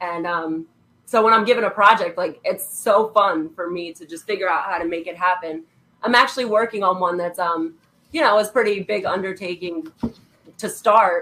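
She has a normal speaking voice, pitched in the middle range. Her speed is moderate and her pitch varies in an ordinary way. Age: 20s. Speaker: artist. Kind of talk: casual chat.

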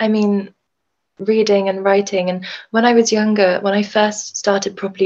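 A woman's medium-pitched voice with a southern English accent, monotone and flat in intonation, at a moderate pace. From Brighton, southern England. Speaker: author. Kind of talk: casual interview. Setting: video call.

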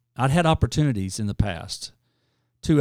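A man speaks with an Arkansas accent and lively intonation at a moderate pace. The sound is dry and close with no echo, on a very clean recording with a silent background. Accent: Southern US (Arkansas). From US South, rural northeast Arkansas. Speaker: nonprofit leader. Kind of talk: interview. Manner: rambling, hesitant with fillers.

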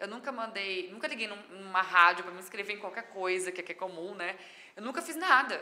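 Her intonation is lively and her loudness swings widely. The woman speaks at a medium pitch amid noticeable background noise. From Brazil, São Paulo state (Mirassol). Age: 30s. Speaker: chef and digital influencer. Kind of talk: podcast interview.

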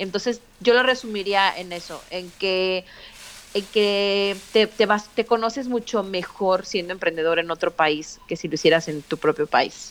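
A woman with an ordinary speaking voice talks at a medium pitch and a fairly slow pace, with ordinary pitch variation. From Mexico. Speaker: podcaster and mother. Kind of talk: interview conversation.

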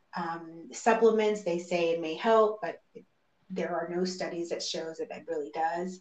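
A woman speaks at a fairly slow pace in a fairly low voice. Her loudness swings widely. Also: ordinary pitch variation. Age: 40s. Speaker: mother going through IVF. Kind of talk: interview.

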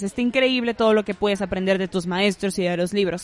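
Spoken at a fairly quick pace with ordinary pitch variation, the voice carries a northern Mexican accent. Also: woman. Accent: northern Mexican Spanish (Monterrey). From Monterrey, northern Mexico. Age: 20s. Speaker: communications graduate and podcaster. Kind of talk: casual chat.

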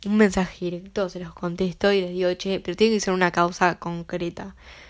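A woman speaks with a Uruguayan accent. The recording is very clean and the background silent. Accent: Rioplatense Spanish (Uruguayan). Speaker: podcast host. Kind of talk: casual monologue.

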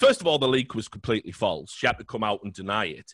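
Very fast and full of vocal fry, a man talks with lively intonation in a dry, close sound with no echo. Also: very clean recording, silent background. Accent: British. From Britain. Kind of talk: casual chat. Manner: animated.

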